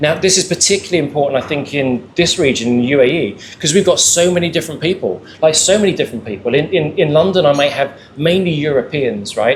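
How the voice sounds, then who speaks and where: Very fast speech comes from a man with a fairly high pitch. Noticeable background noise runs underneath. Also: ordinary pitch variation. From England. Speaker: panelist. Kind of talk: panel discussion. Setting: live event with audience. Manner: repetitive stammering on words.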